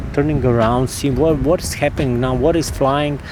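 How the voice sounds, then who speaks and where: A man with a Croatian accent at a medium pitch with ordinary pitch variation, music playing in the background. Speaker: drone videographer. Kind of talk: casual gear review. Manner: halting.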